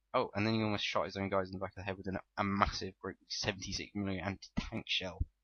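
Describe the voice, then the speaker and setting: A man speaks at a very fast pace. His voice is fairly low-pitched. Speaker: gaming commentator. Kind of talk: gameplay commentary.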